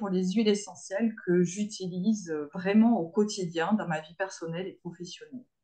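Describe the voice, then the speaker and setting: A woman talks at a moderate pace, her voice somewhat breathy and her intonation fairly even. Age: 50s. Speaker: naturopath. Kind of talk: webinar presentation.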